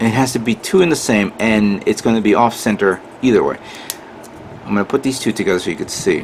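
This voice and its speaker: Over noticeable background noise, a man speaks at a very fast pace in a medium pitch with ordinary variation. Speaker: model kit builder. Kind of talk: tutorial. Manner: halting.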